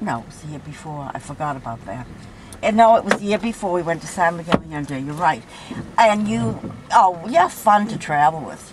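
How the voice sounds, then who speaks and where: The loudness swings widely and the pitch swings very widely at a moderate pace. Noticeable background noise is present. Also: woman, fairly low pitch for a woman. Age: 80s+. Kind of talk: casual chat. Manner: animated.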